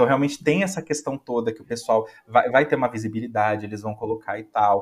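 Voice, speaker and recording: Lively intonation colors a man's speech. He talks at a fairly quick pace. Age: 20s. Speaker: music enthusiast guest. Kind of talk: casual chat. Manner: animated.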